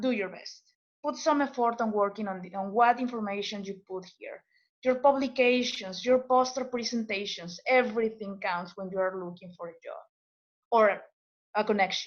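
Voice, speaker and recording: Speaking with a non-native accent at a moderate pace, a woman with a fairly high pitch shows ordinary pitch variation and big swings in loudness. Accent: foreign. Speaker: postdoctoral scientist. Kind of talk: webinar presentation. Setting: webinar video call. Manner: halting, many repetitions and fillers.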